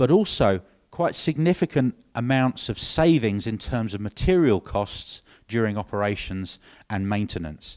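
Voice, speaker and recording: In a very clean recording with a silent background, a man with a British accent speaks at a moderate pace and medium pitch, his pitch swinging very widely. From UK. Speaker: industry marketing director, former engineer. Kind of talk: conference presentation. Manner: hesitant, many fillers.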